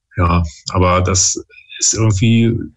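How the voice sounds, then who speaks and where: The man's voice is somewhat breathy and fairly low in pitch. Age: 30s. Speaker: father and parenting YouTuber. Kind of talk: casual chat. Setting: video call.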